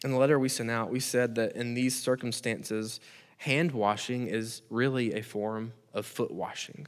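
In a very clean recording with a silent background, a man with an American accent speaks in an unremarkable speaking voice at a medium pitch and moderate pace with fairly even intonation. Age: 30s. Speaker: pastor. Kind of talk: sermon. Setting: recorded video, no congregation.

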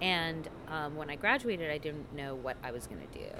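A woman with a very deep, low pitch and a bright, sharp tone with vocal fry speaks at a moderate pace amid audible room echo. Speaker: journalist and author. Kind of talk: casual interview. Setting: coffee house.

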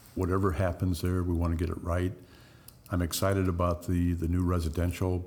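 A man with an American accent speaks in a very deep, low pitch and a dark, mellow tone, with monotone, flat intonation. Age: 60s. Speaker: mayor. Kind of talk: casual interview.

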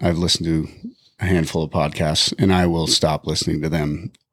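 A man talks at a moderate pace with fairly even intonation. His pitch is very deep and low. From Wyoming, Bighorn Mountains. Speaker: podcast guest, ICU worker. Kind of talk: casual chat.

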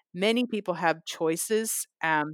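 An American woman has an unremarkable speaking voice, fairly low in pitch with ordinary pitch variation. The recording is very clean, with a silent background and a dry, close sound with no echo. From San Francisco Bay Area, US West Coast. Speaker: whale researcher and conservationist. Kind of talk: interview.

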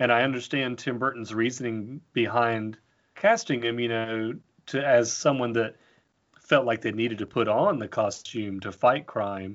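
A man speaks in a normal speaking voice at a medium pitch. His intonation is fairly even and his pace moderate. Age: 30s. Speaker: artist and illustrator. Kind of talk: casual chat.

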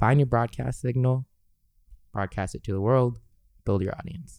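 A man with a Californian accent speaks at a medium pitch in a dark, mellow tone. His intonation is fairly even, and the recording is very clean with a silent background. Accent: Californian American. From Los Angeles, California. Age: 20s. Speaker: singer. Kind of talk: casual chat. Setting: studio.

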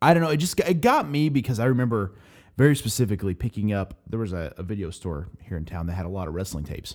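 A man with an American accent talks at a very fast pace in a fairly low pitch, with very wide pitch swings and big swings in loudness, on a very clean recording with a silent background. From Oklahoma, US. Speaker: podcast host. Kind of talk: casual chat.

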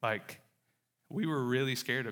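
On a very clean recording with a silent background, a man with a Southern US accent speaks at medium pitch in a bright, sharp tone with ordinary pitch variation. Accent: Southern US, noticeable drawl. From Mississippi, US South. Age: 30s. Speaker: church planter and missionary. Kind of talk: sermon-style message with testimony. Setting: church stage with audience.

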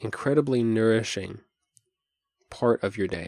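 At a fairly slow pace, a man with a medium pitch speaks in a dark, mellow, calm, soothing tone, with dry, close sound with no echo and a very clean recording over a silent background. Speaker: podcast host and meditation teacher. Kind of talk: guided meditation; solo podcast talk. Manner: slow, calm, soothing.

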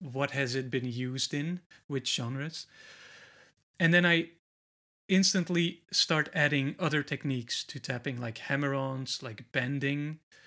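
Speaking in a Flemish accent at a fairly slow pace, a man with a fairly high pitch and a bright, sharp tone is heard on a very clean recording with a silent background. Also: ordinary pitch variation. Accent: Belgian (Flemish) accent in English. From Belgium. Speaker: guitarist and guitar teacher, author. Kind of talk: casual interview chat. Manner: occasionally halting, many fillers.

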